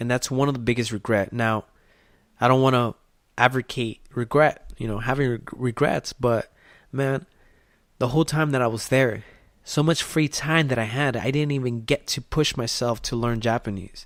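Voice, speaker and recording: A man's medium-pitched voice at a moderate pace, dry and close with no echo, on a very clean recording with a silent background. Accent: Spanish. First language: Spanish. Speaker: podcast host. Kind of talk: motivational podcast monologue. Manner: animated.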